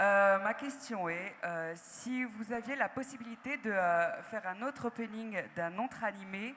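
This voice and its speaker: Recorded very cleanly against a silent background, a woman speaks with a fairly high pitch and ordinary pitch variation, with hardly any pauses. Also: fairly slow pace. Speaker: audience member asking a question. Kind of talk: audience question. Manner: hesitant.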